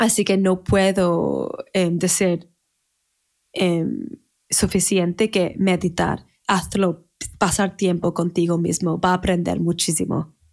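A woman with an English accent speaks at a fairly low pitch with vocal fry and monotone, flat intonation. Her pace is very slow, with long, frequent pauses. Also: very even loudness. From Manchester, northern England. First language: English (speaking Spanish). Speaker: wedding planner. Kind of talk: casual interview. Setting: remote recording in separate rooms. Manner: halting.

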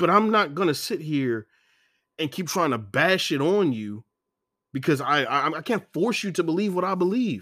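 In an American accent, a man speaks at a moderate pace and a high pitch with very wide swings. His tone is bright and sharp, and the recording is very clean with a silent background. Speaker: podcast host. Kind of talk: angry rant, passionate opinion monologue. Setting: solo podcast recording. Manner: fired-up, indignant, forceful and preachy; rambling, stumbling over words, self-interrupting.

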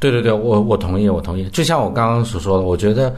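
Fairly low in pitch, this man talks at a fairly quick pace with ordinary pitch variation. Room echo is audible. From northern Heilongjiang, north of Harbin, China. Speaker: film critic. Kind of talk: casual film discussion.

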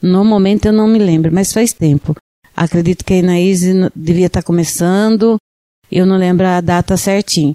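Her voice has a dark, mellow tone, fairly even intonation and very even loudness, with a dry, close sound with no echo. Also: medium pitch for a woman, moderate pace. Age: 60s. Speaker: entrepreneur, photo studio co-owner. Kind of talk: radio interview.

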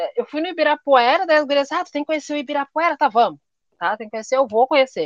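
With a high pitch and lively intonation, a woman is heard in a dry, close recording with no echo. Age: 40s. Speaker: writer and public servant. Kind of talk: casual interview chat.

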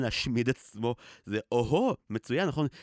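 Here a man has an unremarkable speaking voice with ordinary pitch variation and a fairly quick pace. The recording is very clean, with a silent background and a dry, close sound with no echo. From Israel, grew up on a kibbutz. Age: 30s. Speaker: podcaster. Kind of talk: personal conversational podcast.

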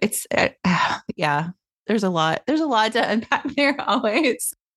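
Speaking fairly slowly in an American accent, a woman uses a fairly high pitch with very wide swings. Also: very even loudness, dry, close sound with no echo. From US South, Tennessee. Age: 50s. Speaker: podcast host, author and publisher. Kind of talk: casual interview chat.

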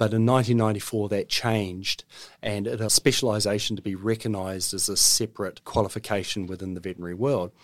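On a very clean recording with a silent background, a man with a New Zealand accent and a fairly low pitch speaks with fairly even intonation. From New Zealand, Auckland. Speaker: veterinary surgeon. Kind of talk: interview. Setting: studio.

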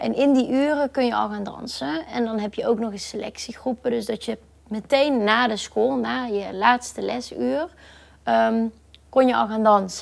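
At a moderate pace, a woman with a fairly high pitch speaks with lively intonation. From Netherlands, Brabant (Boxtel). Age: 20s. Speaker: professional dancer. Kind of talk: interview. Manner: hesitant, many fillers.

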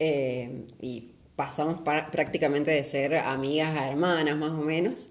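Audible room echo is heard. A woman talks in a very deep, low pitch. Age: 20s. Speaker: law student and runner. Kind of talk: casual chat.

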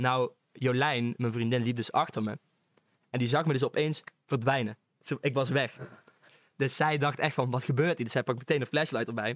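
A man talks in a normal speaking voice at a moderate pace with fairly even intonation. The sound is dry and close with no echo, on a very clean recording with a silent background. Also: medium pitch for a man. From North Brabant, Netherlands (Venhorst). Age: young. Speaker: podcast guest, student. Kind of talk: casual chat.

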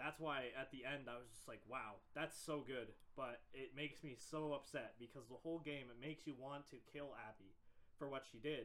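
At a moderate pace, a man with medium pitch and fairly even intonation speaks in an ordinary speaking voice. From Canada. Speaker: podcast co-host. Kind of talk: casual chat.

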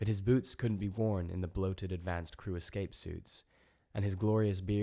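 The speaker reads out loud with a natural-sounding voice. Their pitch stays mostly level.

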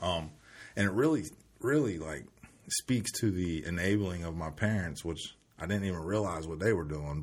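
A man with a very deep, low pitch, vocal fry and an American accent. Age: 30s. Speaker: recovering addict sharing his story. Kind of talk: casual interview.

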